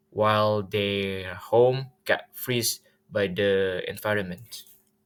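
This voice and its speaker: A man with an Indonesian accent speaks very slowly at a fairly low pitch in a flat monotone, in a very clean recording with a silent background. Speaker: student. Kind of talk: presentation. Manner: halting, many fillers.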